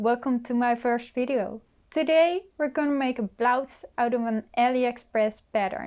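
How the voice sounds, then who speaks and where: A woman with a Dutch accent, fairly slow in pace, ordinary pitch variation, against a quiet background. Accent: Dutch accent, pronounces things a bit weird. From Netherlands. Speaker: sewing youtuber. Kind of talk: tutorial. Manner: halting, many fillers.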